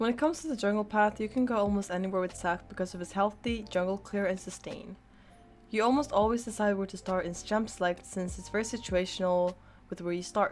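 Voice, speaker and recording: Over music in the background, a woman of medium pitch speaks at a fairly quick pace with ordinary pitch variation. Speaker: gaming streamer giving a game guide. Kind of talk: tutorial. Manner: scripted, steady explanatory delivery.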